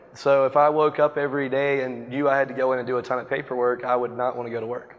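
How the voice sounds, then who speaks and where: A man speaks in a monotone, flat delivery with an American accent at a medium pitch. Noticeable background noise runs underneath. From US South, Wilmington, North Carolina. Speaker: real estate agent. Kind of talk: interview on stage. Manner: fast.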